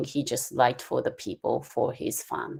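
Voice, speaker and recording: The speaker is a woman. She talks with a Japanese accent. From Japan, Kyushu (Usuki). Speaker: calligraphy instructor. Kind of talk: lecture. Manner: halting, many fillers.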